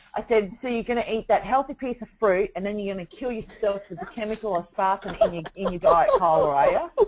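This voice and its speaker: Speech runs at a fairly quick pace with hardly any pauses, over noticeable background noise. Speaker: online marketing coach. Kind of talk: casual chat. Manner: blunt, harsh.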